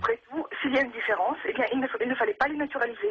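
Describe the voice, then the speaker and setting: With noticeable background noise behind her, a woman speaks at a very fast pace in a high voice with very wide pitch swings. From Russia. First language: Russian (speaking French). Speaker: radio caller. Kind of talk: call-in radio testimony. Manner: halting, many hesitations.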